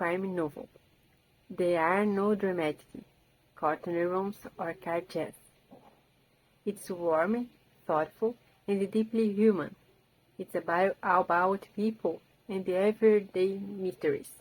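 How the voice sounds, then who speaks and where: With a Portuguese accent, a woman of medium pitch speaks in fairly even intonation, leaving long, frequent pauses. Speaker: language learner and book video creator. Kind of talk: rehearsed book summary talk. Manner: halting, with repeated words and restarts.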